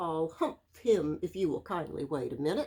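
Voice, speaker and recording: A woman does a put-on character voice, fairly low in pitch, at a moderate pace. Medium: read story.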